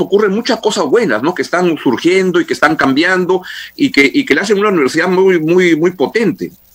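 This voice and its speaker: The man's high voice carries lively intonation. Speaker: radio host. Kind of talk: radio interview. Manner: halting, repeats words.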